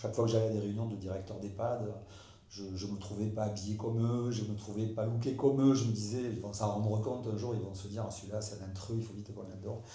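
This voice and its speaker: Talking at a very fast pace, a man with a fairly low pitch keeps a monotone, flat intonation, with audible room echo and noticeable background noise. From Basque Country, southwest France. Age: 60s. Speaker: former rugby player and care home owner. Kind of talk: interview. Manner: halting.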